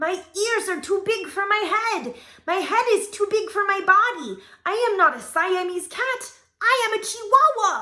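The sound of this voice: A woman uses a put-on character voice in a Spanish accent at an extremely high pitch. She keeps a moderate pace.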